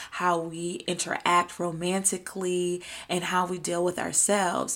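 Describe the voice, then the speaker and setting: A woman talks at a very slow pace and a fairly low pitch. The recording is very clean, with a silent background. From US South, Atlanta, Georgia. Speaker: podcast host and lifestyle content creator. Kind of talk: solo podcast monologue.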